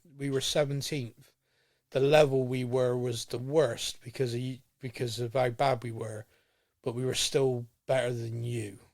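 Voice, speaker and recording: The recording is very clean, with a silent background. A man with a rural English accent talks at a moderate pace with fairly even intonation. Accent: rural English, farmer-like. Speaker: football podcast host. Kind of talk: casual podcast discussion.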